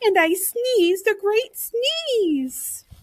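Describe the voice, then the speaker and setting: Squeaking at an extremely high pitch, a woman puts on a character voice. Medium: read story. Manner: wheedling, self-justifying.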